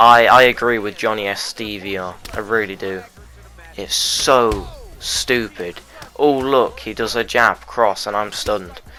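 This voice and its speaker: With music in the background, a man speaks at a fairly low pitch and a fairly slow pace, his intonation fairly even. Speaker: gaming YouTuber. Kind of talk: gameplay commentary.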